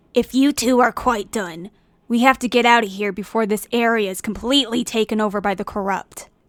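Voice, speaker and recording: A woman puts on a character voice at a fairly high pitch. She talks at a fairly quick pace. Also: very clean recording, silent background. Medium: read story. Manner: serious, brisk.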